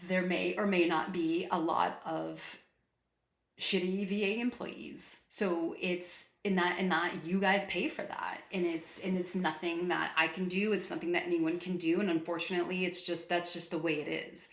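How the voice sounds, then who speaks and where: Audible room echo surrounds the voice. The pace is moderate. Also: woman, fairly low pitch for a woman. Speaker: VA claims advice youtuber. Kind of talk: casual vlog rant. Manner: loud; animated, passionate.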